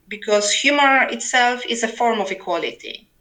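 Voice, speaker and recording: In a Polish accent, the speaker has a bright, sharp tone, a moderate pace and ordinary pitch variation. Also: woman. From Poland. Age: 40s. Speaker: novelist and literary translator. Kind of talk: interview. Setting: remote call over internet. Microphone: poor sound quality, overloaded internet.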